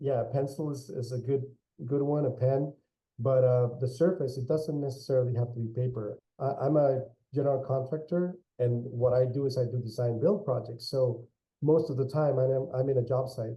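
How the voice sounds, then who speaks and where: A somewhat breathy man with a Spanish accent, medium in pitch, at a moderate pace. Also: fairly even intonation. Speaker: architect and general contractor. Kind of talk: interview. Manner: hesitant, many repeated words.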